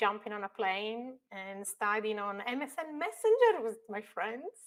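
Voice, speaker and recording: In an Italian accent, a woman speaks at a fairly slow pace. Her voice is fairly high, with lively intonation. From northern Italy. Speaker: construction technology expert. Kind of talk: podcast interview.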